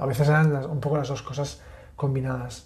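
This man has a fairly high pitch and a dark, mellow tone. His voice is somewhat breathy. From Catalonia. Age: 30s. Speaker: podcast host, architect. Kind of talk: casual chat.

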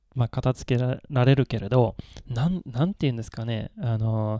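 This man has a Swedish accent. The sound is dry and close, with no echo. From Sweden. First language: Swedish (speaking Japanese). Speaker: Japanese tea expert. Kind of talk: casual chat.

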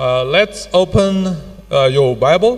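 A man speaks in a high voice with lively intonation over noticeable background noise. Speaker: pastor. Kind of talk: sermon. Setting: church. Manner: formal.

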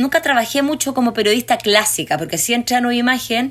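Noticeable background noise accompanies a woman's very fast delivery. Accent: Chilean. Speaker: documentary filmmaker. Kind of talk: interview. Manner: animated.

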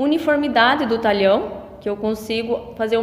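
In a room with audible echo and noticeable background noise, a woman talks at a moderate pace with a fairly high pitch and ordinary pitch variation. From western Paraná, Brazil (Medianeira region). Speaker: agronomist. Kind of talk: interview.

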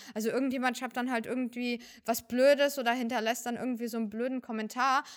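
The woman's pitch is high. The recording is very clean, with a silent background. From Germany, Fürth (Franconia). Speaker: professional cosplayer. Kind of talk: casual interview.

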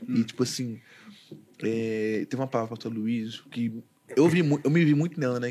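The speaker is a man with a medium pitch. His words come at a moderate pace. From Brazil, Goiânia, Goiás. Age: 20s. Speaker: church musician, drummer. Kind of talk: casual chat, testimony.

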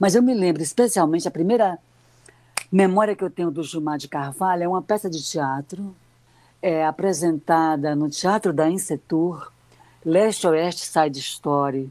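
A woman speaks in a dark, mellow tone at a fairly low pitch. She keeps a moderate pace with ordinary pitch variation. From Ceará sertão, Brazil. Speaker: retired literature professor and journalist. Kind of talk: radio interview. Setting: remote online call. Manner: hesitant, many fillers.

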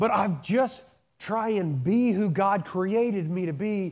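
A man's high-pitched voice with ordinary pitch variation, in a very clean recording against a silent background. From rural small town. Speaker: lay pastor. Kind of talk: sermon. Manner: casual, halting.

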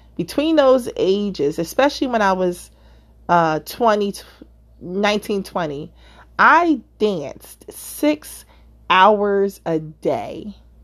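A woman at a very slow pace with very wide pitch swings, on a very clean recording with a silent background. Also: medium pitch for a woman. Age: 50s. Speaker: podcast host and author. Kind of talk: casual monologue. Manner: hesitant, many fillers.

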